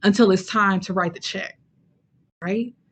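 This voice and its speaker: Somewhat breathy, a woman speaks in an animated tone. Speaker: fraternity and sorority recruitment trainer. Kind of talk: webinar talk with Q&A. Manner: animated, conversational.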